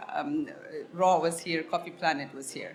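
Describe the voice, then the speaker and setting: A woman's fairly slow speech with audible room echo. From Ethiopia (Harar, east). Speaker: coffee business owner. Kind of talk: podcast interview. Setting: live event.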